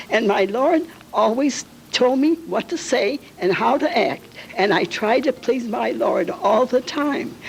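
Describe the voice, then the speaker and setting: Over noticeable background noise, a woman with an American accent talks at a fairly slow pace in a high pitch with lively intonation. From Calumet City, Illinois, US Midwest. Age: 80s+. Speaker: local elder sharing memories. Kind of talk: oral history testimony.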